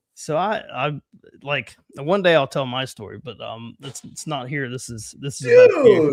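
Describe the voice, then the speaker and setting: Speaking at a fairly slow pace, a man with a Southern US accent uses a fairly high pitch, lively intonation and big swings in loudness. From US South. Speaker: podcast host, former band teacher. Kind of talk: casual chat.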